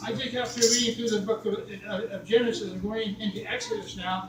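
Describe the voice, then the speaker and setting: An extremely high-pitched man's voice at a moderate pace, over noticeable background noise. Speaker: church guest speaker, preacher. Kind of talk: sermon, preaching to a congregation.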